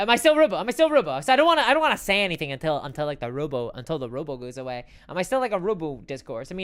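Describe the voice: A robotic, put-on character voice with a middle pitch. It rushes at a very fast pace with hardly any pauses.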